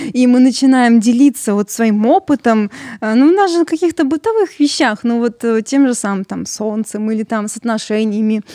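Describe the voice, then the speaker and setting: A woman's fairly high, dark and mellow voice at a moderate pace, with ordinary pitch variation and a dry, close sound with no echo. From Russia. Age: 20s. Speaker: voice-over hobbyist with albinism. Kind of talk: casual chat.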